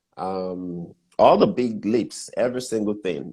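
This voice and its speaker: With a Nigerian accent, a man speaks at a fairly low pitch with a dark, mellow tone. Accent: typical Nigerian. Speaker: business mentor and entrepreneur. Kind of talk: interview on business advice.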